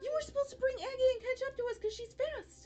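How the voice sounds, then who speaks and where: At a very fast pace, a put-on character voice comes through squeaky and extremely high in pitch. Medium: actual play. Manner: fussing, scolding.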